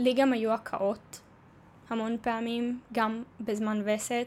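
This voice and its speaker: A woman talks at a fairly slow pace in a fairly high pitch. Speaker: podcaster living with endometriosis. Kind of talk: personal monologue.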